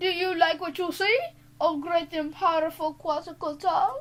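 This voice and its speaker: Pitched extremely high, a woman's put-on character voice comes through. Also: moderate pace, fairly even intonation. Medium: read story. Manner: regal, commanding.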